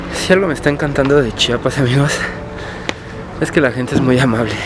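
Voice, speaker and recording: Fairly even intonation amid noticeable background noise. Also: man. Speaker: travel vlogger. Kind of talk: travel vlog narration.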